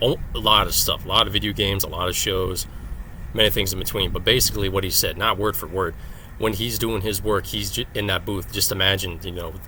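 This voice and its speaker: Speech comes at a fairly quick pace. Noticeable background noise runs underneath. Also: man. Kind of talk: casual talk to camera. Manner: monotone.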